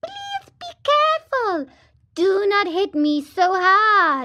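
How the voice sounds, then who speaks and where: A woman's put-on character voice, squeaky and extremely high, with very wide pitch swings at a very slow pace. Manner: pleading, beseeching.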